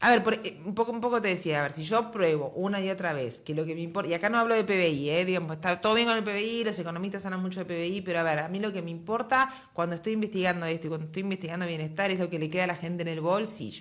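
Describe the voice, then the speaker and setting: A woman with a Uruguayan accent talks at a very fast pace with hardly any pauses. Noticeable background noise runs underneath. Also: medium pitch for a woman, ordinary pitch variation. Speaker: economist, university dean. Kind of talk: interview.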